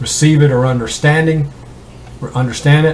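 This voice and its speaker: A man talks at a moderate pace. Room echo is audible, and there is noticeable background noise. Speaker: independent Bible teacher. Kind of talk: Bible study talk. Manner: halting, many fillers.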